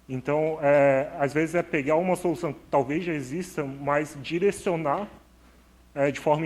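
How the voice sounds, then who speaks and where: Intonation stays fairly even as the speech moves at a moderate tempo. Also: man. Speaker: speaker at tech event. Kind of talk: conference talk.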